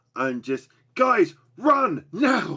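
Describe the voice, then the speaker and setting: In a put-on character voice, a man speaks at an extremely high pitch. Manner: panicked, shouting.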